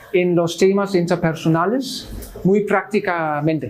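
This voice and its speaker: A man speaks in a Swedish accent with ordinary pitch variation. Noticeable background noise can be heard. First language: Swedish (speaking Spanish). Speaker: Lutheran missionary pastor. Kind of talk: Bible study teaching. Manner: halting, many fillers.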